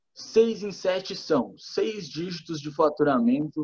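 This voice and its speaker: This man's tone is dark and mellow. He talks at a very slow pace. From Rio Grande do Sul, Brazil (Torres). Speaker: digital marketing entrepreneur. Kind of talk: casual chat.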